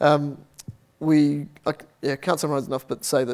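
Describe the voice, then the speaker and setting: A man speaks with an Australian accent. His pitch is fairly high. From Australia, Adelaide. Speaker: software team lead. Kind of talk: Q and A answer; conference talk.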